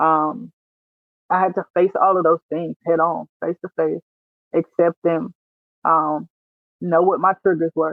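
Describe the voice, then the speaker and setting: Pausing long and often, a woman with a Louisiana accent speaks in a fairly low pitch with fairly even intonation. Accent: Southern US, rural Louisiana. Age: 30s. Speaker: military veteran and author. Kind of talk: testimony.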